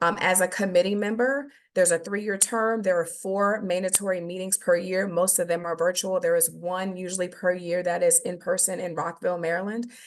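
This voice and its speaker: A woman is speaking. Her pace is fairly quick. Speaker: government nursing program presenter. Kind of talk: webinar presentation. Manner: fast.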